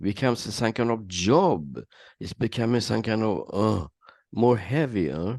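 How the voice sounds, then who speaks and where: With vocal fry, a man speaks at a moderate pace against a quiet background, the sound dry and close with no echo. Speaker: meditation teacher. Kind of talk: spiritual Q&A session.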